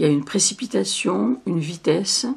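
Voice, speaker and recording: A woman's voice sits very deep and low while swinging very widely in pitch. Noticeable background noise runs behind her. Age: 70s. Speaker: poet. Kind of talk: interview. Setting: filmed interview. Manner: halting.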